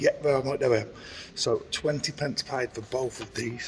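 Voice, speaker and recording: There is noticeable background noise in this clip. Over it, a man talks with fairly even intonation. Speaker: vlogger. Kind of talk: casual vlog chat. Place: shop. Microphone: phone near.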